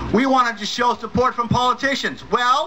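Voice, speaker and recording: Over noticeable background noise, a man projects a raised voice at an extremely high pitch and a moderate pace. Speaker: atheist activist speaker. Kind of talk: rally speech. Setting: stage with audience. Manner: animated; energetic crowd-rousing, jokey. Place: stage.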